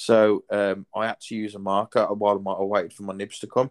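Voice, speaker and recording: A man with a fairly low pitch talks fairly quickly. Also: dry, close sound with no echo. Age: 30s. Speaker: podcast host and tattoo artist. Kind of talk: casual chat.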